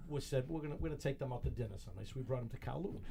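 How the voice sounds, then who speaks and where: This man speaks at a medium pitch. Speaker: talk show co-host. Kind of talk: casual chat. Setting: studio with headphones. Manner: stuttering, fast.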